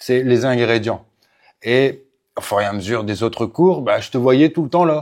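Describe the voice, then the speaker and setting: A man at a fairly slow pace, medium pitch and ordinary pitch variation, with long, frequent pauses, on a very clean recording with a silent background. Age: 40s. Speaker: MMA coach. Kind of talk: casual interview. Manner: hesitant, many fillers.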